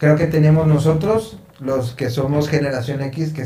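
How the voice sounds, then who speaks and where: Over audible room echo, a man with a Mexican accent speaks at a fairly slow pace, his tone dark and mellow and somewhat breathy. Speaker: songwriter. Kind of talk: casual chat.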